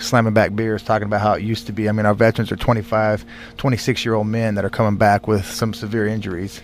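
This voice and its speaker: Against noticeable background noise, a man rushes along at a very fast pace, his fairly low voice monotone and flat in intonation. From California, Bakersfield. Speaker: war veteran and former football player. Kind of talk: radio interview. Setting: studio.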